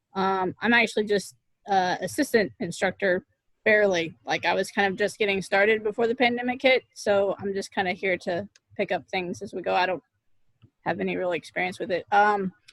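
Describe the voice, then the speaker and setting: An ordinary speaking voice from a woman, fairly quick in pace, with ordinary pitch variation and a dry, close sound with no echo. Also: medium pitch for a woman. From Oklahoma, US. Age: 30s. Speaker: assistant martial arts instructor. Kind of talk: casual chat.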